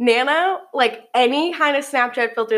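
A woman at a moderate pace with lively intonation. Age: 20s. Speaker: college student podcaster. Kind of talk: casual chat.

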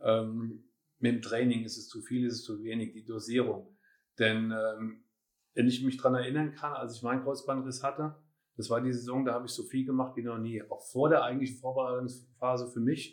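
Speaking fairly quickly at a medium pitch, a man keeps a monotone, flat intonation while his loudness swings widely. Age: 50s. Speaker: personal trainer. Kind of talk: casual chat. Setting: at the trainer's place.

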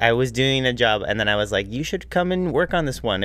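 A man speaks at a fairly quick pace with lively intonation. His is a plain, everyday voice. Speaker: guest co-host, host's boyfriend. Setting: studio.

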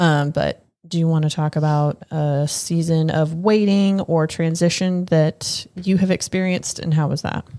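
A woman with a plain, everyday voice, fairly low in pitch, fairly even in intonation, at a moderate pace with hardly any pauses. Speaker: podcast host. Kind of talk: casual chat.

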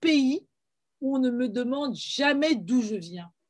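Speaking very slowly, a woman with a high voice lets her pitch swing very widely. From France, Paris (Guadeloupean family). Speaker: filmmaker, screenwriter and playwright. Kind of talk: interview. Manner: hesitant, frequent word repetitions.

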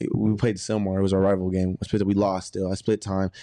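In a fairly low pitch and an American accent, a man talks very fast with flat, monotone intonation and a dark, mellow tone, the sound dry and close with no echo over a quiet background. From Texas (Arlington), later southern California. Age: 20s. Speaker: college football player. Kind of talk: casual chat.

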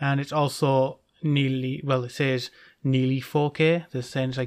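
This man has a British accent and speaks in a flat monotone at a moderate pace. The recording is very clean, with a silent background. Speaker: podcast co-host. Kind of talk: casual chat.

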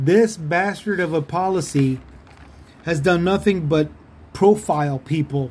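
A man with an American accent talks in a high pitch and an animated tone at a fairly slow pace, leaving long, frequent pauses. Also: ordinary pitch variation. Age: 50s. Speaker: political podcaster. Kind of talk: opinion monologue.

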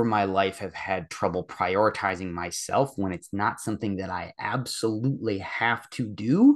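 An ordinary speaking voice moves at a fairly slow pace with fairly even intonation against a quiet background. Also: man. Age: 30s. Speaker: fitness coaching client. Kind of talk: casual chat.

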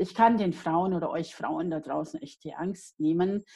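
In a dark, mellow tone, a woman speaks very slowly. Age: 50s. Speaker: life coach and author. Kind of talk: interview. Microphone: unstable internet connection.

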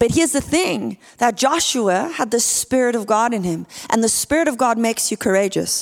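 With a South African accent, a woman speaks at a moderate pace in a fairly high voice with lively intonation, in a very clean recording with a silent background. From South Africa (Port Elizabeth). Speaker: guest preacher. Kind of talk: sermon. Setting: church.

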